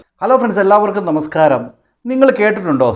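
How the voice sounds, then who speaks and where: A man speaks in a high pitch. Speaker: vlogger commenting on news. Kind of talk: opinion monologue.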